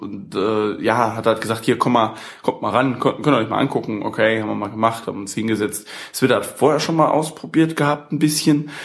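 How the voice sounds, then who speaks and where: A man at medium pitch, fairly quick in pace, with ordinary pitch variation. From Saxony, Germany. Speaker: gaming podcast host. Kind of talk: casual chat. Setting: home studio. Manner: animated, laughing.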